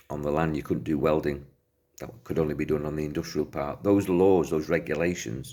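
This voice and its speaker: Vocal fry at a fairly quick pace with fairly even intonation. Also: man, very deep, low pitch for a man. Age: 60s. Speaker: self-help speaker. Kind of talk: talk to camera.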